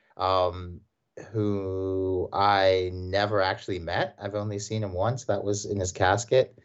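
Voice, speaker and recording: A man with a Mid-Atlantic American accent, fairly low in pitch, at a very slow pace with monotone, flat intonation. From Washington, D.C. area (Silver Spring, Maryland). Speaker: professor of American studies. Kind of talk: casual interview.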